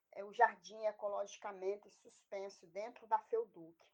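A woman speaks at a moderate pace with a fairly high pitch. Her tone is dark and mellow. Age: 40s. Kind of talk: interview. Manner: halting.

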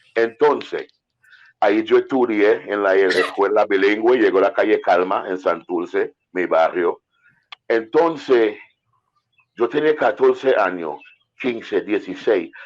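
Pausing long and often, a man with a non-native accent speaks at a very slow pace. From Antigua. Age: 50s. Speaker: reggae singer. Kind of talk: casual interview.

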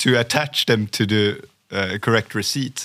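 In a very clean recording with a silent background, a man with a French accent speaks fairly slowly at medium pitch, with ordinary pitch variation. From France. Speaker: sales professional. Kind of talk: interview. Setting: studio.

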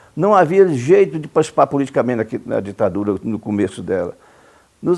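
Vocal fry runs through this man's speech. He keeps a moderate pace while his pitch swings very widely. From Brazil, Goiás (Cumari, rural). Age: 70s. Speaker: lawyer and former politician. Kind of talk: interview. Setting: at his home.

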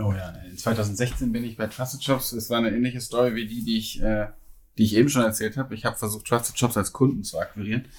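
A man talks at a very fast pace in a monotone, flat delivery. His voice is somewhat breathy. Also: medium pitch for a man, very clean recording, silent background. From Cologne, Germany. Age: 30s. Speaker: recruiting director. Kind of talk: podcast interview. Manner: hesitant, many fillers and repetitions.

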